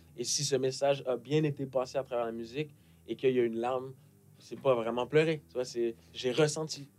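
Speaking at a fairly quick pace in a monotone, flat intonation, the man leaves long, frequent pauses. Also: medium pitch for a man. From Quebec, Montreal. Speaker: rapper. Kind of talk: casual interview chat. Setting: studio.

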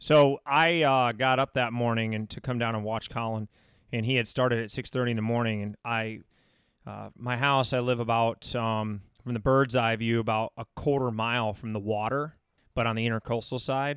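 In an American accent, a man with a plain, everyday voice speaks at medium pitch with fairly even intonation, in a dry, close sound with no echo. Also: moderate pace. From Michigan. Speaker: podcast host and running coach. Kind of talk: casual chat. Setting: studio.

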